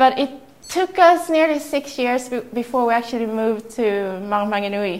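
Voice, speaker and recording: Amid noticeable background noise, a woman with a Swedish accent speaks at a moderate pace and a fairly high pitch. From southern Sweden. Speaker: entrepreneur. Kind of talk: talk to audience.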